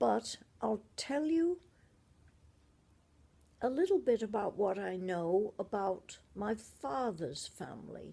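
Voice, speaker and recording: In an English accent, a woman with a dark, mellow tone, medium pitch, and vocal fry talks at a very slow pace, with very wide pitch swings and long, frequent pauses. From Shropshire / Merseyside, England. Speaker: grandmother telling family history. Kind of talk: family memoir storytelling.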